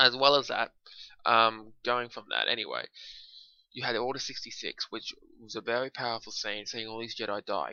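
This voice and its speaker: A man talks quietly at a medium pitch. His pace is moderate, and his pitch varies in an ordinary way. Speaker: film reviewer. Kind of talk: solo video review. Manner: halting, many fillers. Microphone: poor mic, sounds quiet.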